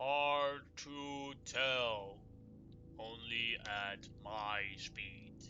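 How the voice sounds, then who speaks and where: A man puts on a character voice at a medium pitch and a very slow pace. Clear background noise runs behind him. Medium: actual play. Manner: calm, plain-spoken.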